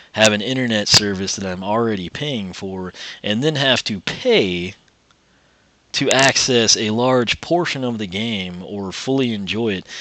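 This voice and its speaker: Here a man talks at a fairly slow pace. His pitch is fairly low, with ordinary variation. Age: 20s. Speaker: gaming YouTuber. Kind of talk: gameplay commentary rant. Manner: rambling, casual with filler words.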